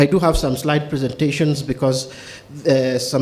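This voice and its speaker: With audible room echo around him, a man speaks at medium pitch using fairly even intonation. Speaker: legal researcher and lecturer. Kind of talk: academic paper presentation. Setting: conference hall with audience. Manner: fast.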